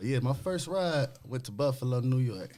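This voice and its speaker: A man at a fairly quick pace, his intonation lively. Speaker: motorcycle club rider. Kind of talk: casual chat.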